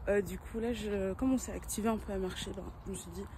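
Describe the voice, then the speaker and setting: A woman is talking here. Her delivery is fairly quick. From Brussels, Belgium. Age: 20s. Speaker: vlogger. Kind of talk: casual vlog talk to camera. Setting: outdoors, walking. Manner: animated; halting, many fillers.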